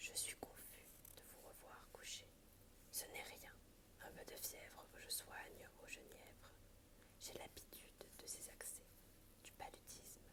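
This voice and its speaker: Whispering comes at a very slow pace, broken by long, frequent pauses. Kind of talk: ASMR whispered book reading. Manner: whispered, soft.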